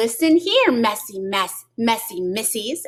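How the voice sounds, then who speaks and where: Using a put-on character voice, a woman talks fairly slowly at a fairly high pitch. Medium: read story. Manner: emphatic, dramatic.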